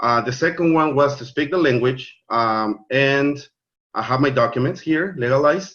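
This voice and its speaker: A man with a Spanish accent, medium pitch, ordinary pitch variation and a moderate pace. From Mexico. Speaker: network marketing leader. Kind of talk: online training presentation. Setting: video call. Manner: halting, many fillers and repeats.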